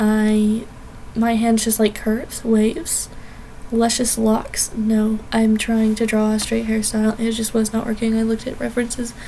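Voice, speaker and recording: Noticeable background noise is present. A woman speaks over it at a fairly high pitch. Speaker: art YouTuber. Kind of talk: speedpaint voiceover commentary. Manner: fast; casual, many fillers.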